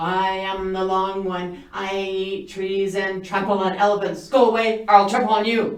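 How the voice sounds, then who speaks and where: A put-on character voice booms and bellows in a flat monotone at a moderate pace, with a slight echo. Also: woman, medium pitch for a woman. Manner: roaring, menacing.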